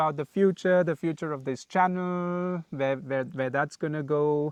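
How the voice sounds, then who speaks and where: Dry, close sound with no echo over a quiet background. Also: man. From India, Pune (Maharashtra). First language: Malayalam. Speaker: travel vlogger. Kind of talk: casual chat. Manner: hesitant, many fillers.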